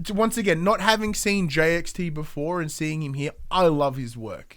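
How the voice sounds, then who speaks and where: An animated voice in an Australian accent, with lively intonation and big swings in loudness. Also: man, high pitch for a man, moderate pace. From Australia, Gippsland, Victoria. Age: 30s. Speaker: podcast co-host. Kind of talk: casual chat.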